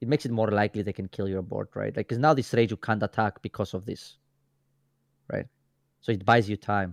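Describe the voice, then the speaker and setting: Speaking at a fairly quick pace with long, frequent pauses, a man with a fairly low, fry-edged voice sounds dry and close with no echo on a very clean recording over a silent background. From Greece. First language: Greek. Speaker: card game commentator. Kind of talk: live commentary. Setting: livestream. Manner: animated.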